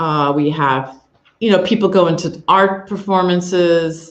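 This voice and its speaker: This is a plain, everyday voice with an American accent and ordinary pitch variation. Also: woman. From United States. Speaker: professor. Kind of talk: info session presentation.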